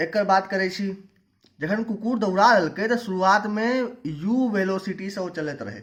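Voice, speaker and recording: With a Maithili accent, a man speaks at a high pitch while the room's echo is audible. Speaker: physics teacher. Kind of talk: lecture. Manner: informal explanatory.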